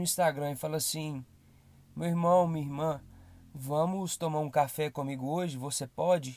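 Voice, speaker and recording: At a fairly slow pace, a man speaks in a high pitch with ordinary pitch variation in a very clean recording with a silent background. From Brazil, Belo Horizonte. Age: 20s. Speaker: podcast host. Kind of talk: motivational monologue.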